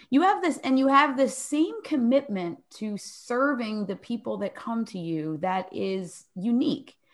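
On a very clean recording with a silent background, a woman with an American accent speaks with very wide pitch swings. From Philadelphia, US. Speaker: podcast co-host and author. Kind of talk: casual interview chat.

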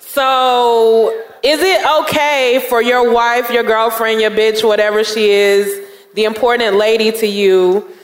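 Over noticeable background noise, someone with an American accent talks at a fairly slow pace. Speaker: podcast host. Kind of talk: live podcast show. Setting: stage with audience.

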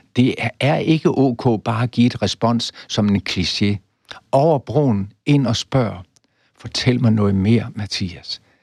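A man speaks very slowly at a medium pitch with ordinary pitch variation. The recording is very clean with a silent background and a dry, close sound with no echo. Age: 80s+. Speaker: professor. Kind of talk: interview.

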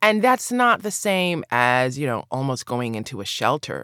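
In a very clean recording with a silent background, a woman with an American accent speaks at a very deep, low pitch, the sound dry and close with no echo. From New York City, Brooklyn. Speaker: tenants rights attorney. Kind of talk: interview.

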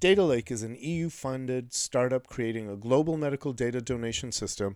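On a very clean recording with a silent background, a man in a plain, everyday voice talks at a fairly quick pace with medium pitch and lively intonation. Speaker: podcast host. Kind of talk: interview.

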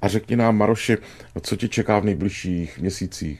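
A normal speaking voice, a man's fairly low one, at a moderate pace with ordinary pitch variation. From Brno, Czechia. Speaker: radio talk show host. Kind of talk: casual interview. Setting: studio.

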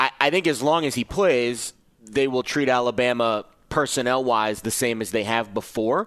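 A man with an unremarkable speaking voice, medium pitch, ordinary pitch variation and a moderate pace, over a quiet background. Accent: American. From New York City. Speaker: sports betting analyst. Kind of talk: sports talk radio.

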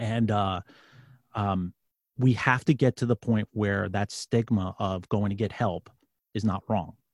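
Fairly even intonation in a New York accent, long and frequent pauses, a dry, close sound with no echo, and a very clean recording with a silent background. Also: man, fairly low pitch for a man, fairly slow pace. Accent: New York City. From New York City. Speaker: former police sergeant and podcast host. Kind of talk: testimony.

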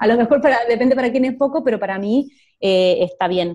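A woman speaks with a dark, mellow tone, fairly high pitch and lively intonation, the sound dry and close with no echo. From Argentina. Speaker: digital entrepreneur, social media manager. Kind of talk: interview.

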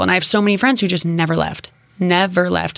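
An animated speaker with an American accent talks at a fairly quick pace. Background noise is noticeable. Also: woman. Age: 20s. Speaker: digital entrepreneur and video creator. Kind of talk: casual interview. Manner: fast talker.

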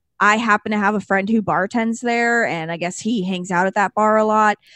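A woman's medium-pitched voice with a Californian accent, moderate pace and ordinary pitch variation, in a dry, close sound with no echo. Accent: Californian, Valley girl. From Los Angeles, San Fernando Valley. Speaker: podcast host. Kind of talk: casual chat.

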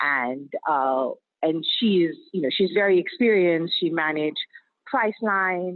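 A normal speaking voice comes through at a fairly slow pace. Its intonation is lively. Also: woman, fairly low pitch for a woman. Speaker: startup founder. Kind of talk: interview. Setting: phone call from a car.

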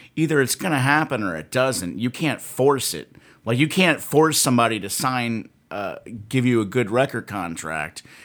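A man at a medium pitch with vocal fry, very wide pitch swings and a moderate pace. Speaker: podcast co-host, metal fan. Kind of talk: casual banter.

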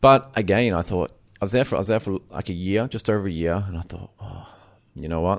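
A man with an Australian accent. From Queensland, Australia. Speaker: chef and restaurant owner. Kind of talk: interview. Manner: halting with frequent repetitions.

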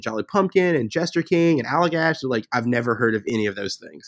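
An unremarkable speaking voice, a man with an American accent talks at a fairly quick pace with lively intonation. The sound is dry and close with no echo, over a quiet background. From US South (Memphis, Tennessee). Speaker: brewery co-owner and head brewer. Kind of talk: interview.

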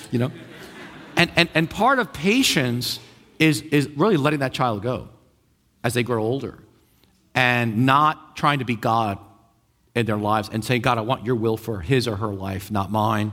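A man in a New York accent at medium pitch, with a bright, sharp, animated tone, ordinary pitch variation, a moderate pace and long, frequent pauses. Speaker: pastor. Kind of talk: sermon.

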